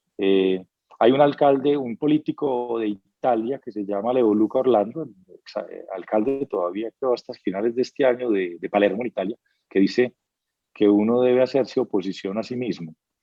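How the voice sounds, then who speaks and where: A man talks at a medium pitch. His loudness swings widely from moment to moment. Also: ordinary pitch variation. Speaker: business executive. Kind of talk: interview. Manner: fast; animated.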